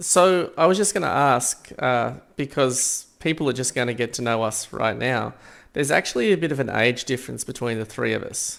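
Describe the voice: A man speaks at a medium pitch and a moderate pace, with ordinary pitch variation. His tone is fairly bright, with some vocal fry.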